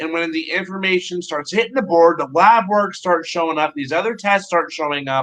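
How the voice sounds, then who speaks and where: This man's voice sits high for a man, moving at a moderate pace with ordinary pitch variation. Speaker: podcast host. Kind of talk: casual chat. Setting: video call. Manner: stuttering.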